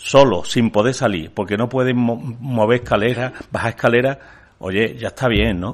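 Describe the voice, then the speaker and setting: A man speaks in a plain, everyday voice at a medium pitch and moderate pace. His intonation is fairly even. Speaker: bishop. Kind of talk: press conference statement. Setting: press conference room.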